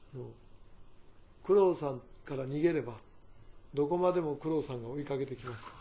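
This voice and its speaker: Somewhat breathy and dark, mellow in tone, a man's fairly high voice runs at a fairly quick pace broken by long, frequent pauses. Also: ordinary pitch variation, big swings in loudness. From Fukuoka Prefecture, Japan (Nogata). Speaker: company chairman. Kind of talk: interview, personal reminiscence.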